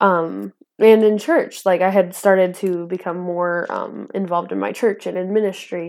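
With an American accent, a woman of medium pitch talks at a moderate pace with fairly even intonation. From northern Idaho, US. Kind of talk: testimony. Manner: laughs often.

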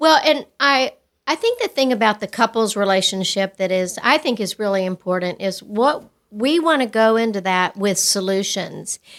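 Recorded very cleanly against a silent background, a woman speaks at a moderate pace in an American accent. Her fairly high pitch sits in an ordinary speaking voice. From West Texas. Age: 60s. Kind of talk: casual interview chat.

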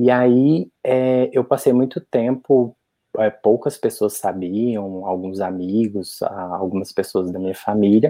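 At a very slow pace, a man talks in a fairly low pitch. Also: ordinary pitch variation. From Brazil, interior of Minas Gerais. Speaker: HIV youth activist. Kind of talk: casual chat.

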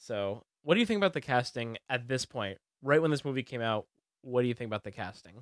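Talking very fast in a medium pitch, a man uses lively intonation, and the sound is dry and close with no echo. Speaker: podcast co-host. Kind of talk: casual chat. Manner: laughs often.

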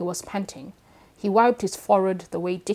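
Fairly even intonation in a natural reading voice.

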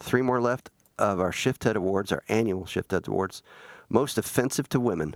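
In a dry, close sound with no echo, a man speaks in an unremarkable speaking voice at a fairly low pitch, with ordinary pitch variation and a moderate pace. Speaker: podcast host. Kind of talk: casual chat. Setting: studio.

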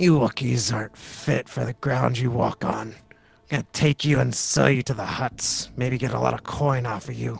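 A man uses a put-on character voice. His pitch sits in the medium range. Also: moderate pace. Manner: sneering, contemptuous, threatening.

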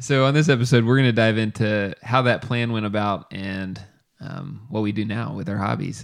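This man has an ordinary speaking voice at medium pitch. He keeps a moderate pace with ordinary pitch variation. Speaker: podcast co-host. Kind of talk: casual chat.

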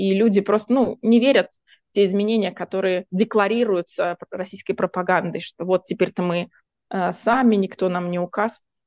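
At a moderate pace and medium pitch, a woman talks in an unremarkable speaking voice, the sound dry and close with no echo. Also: fairly even intonation. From Russia, Voronezh. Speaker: human rights activist. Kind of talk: interview.

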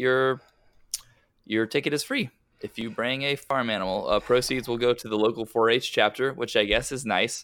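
On a very clean recording with a silent background, a man with an American accent speaks in an ordinary speaking voice at a medium pitch and moderate pace, his intonation fairly even. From Westchester, New York. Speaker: soccer podcast host. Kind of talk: casual chat.

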